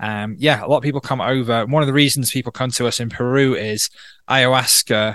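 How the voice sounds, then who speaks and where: A man with a Welsh accent at a medium pitch, fairly even intonation and a fairly quick pace over a quiet background. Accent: Welsh-British. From North Wales. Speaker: plant medicine healer and retreat co-founder. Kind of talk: interview conversation.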